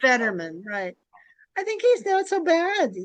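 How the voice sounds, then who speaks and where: Her pace is fairly slow. This woman's pitch swings very widely. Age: 70s. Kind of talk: casual chat. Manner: halting.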